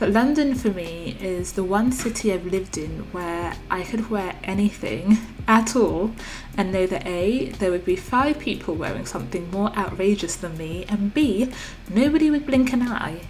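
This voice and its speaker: Music plays in the background as a woman with a British accent speaks at a moderate pace. Her medium-pitched voice has lively intonation. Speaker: art and journaling vlogger. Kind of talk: voiceover narration.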